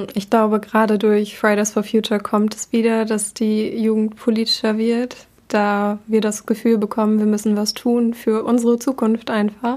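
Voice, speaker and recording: A woman in a flat monotone at a moderate pace, with hardly any pauses. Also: fairly high pitch for a woman. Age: 20s. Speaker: university student. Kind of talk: casual chat. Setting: local party office.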